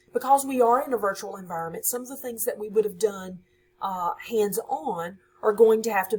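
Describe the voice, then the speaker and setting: A woman speaks in a somewhat breathy voice with big swings in loudness. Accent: Southern US. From US South, Louisiana (West Monroe). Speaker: high school science teacher. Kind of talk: course introduction for students.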